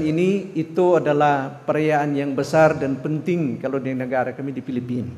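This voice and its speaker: A man's fairly high voice at a moderate pace, with fairly even intonation and audible room echo. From Philippines, Davao. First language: Filipino language (speaking Indonesian). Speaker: missionary pastor. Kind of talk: sermon. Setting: church. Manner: halting, many fillers.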